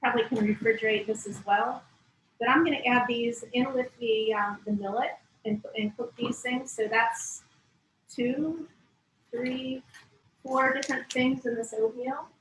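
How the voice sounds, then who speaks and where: A woman with a high-pitched voice speaks with fairly even intonation. Her speech has long, frequent pauses. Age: 60s. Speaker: cooking and nutrition instructor. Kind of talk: cooking demonstration. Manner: halting.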